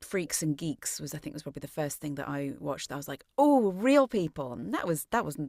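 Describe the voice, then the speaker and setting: A woman with a very deep, low pitch is heard in a very clean recording with a silent background. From England, Shrewsbury. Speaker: actress and voice actress. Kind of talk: interview.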